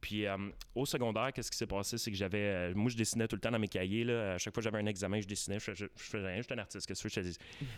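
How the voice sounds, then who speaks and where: Racing at a very fast pace with hardly any pauses, a man speaks at a fairly low pitch on a very clean recording with a silent background. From Quebec, Gatineau. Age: 20s. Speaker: magician. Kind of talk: radio interview. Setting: studio. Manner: animated.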